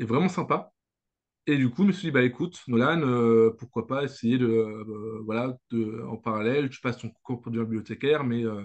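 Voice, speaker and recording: Medium pitch and a moderate pace from a man, with ordinary pitch variation. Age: 20s. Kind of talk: interview. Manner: halting, many hesitations and repeats.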